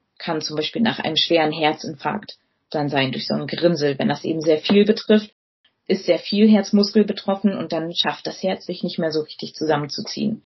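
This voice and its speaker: A woman with a fairly low, somewhat breathy voice talks at a moderate pace with ordinary pitch variation. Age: 30s. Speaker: physician. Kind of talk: educational interview.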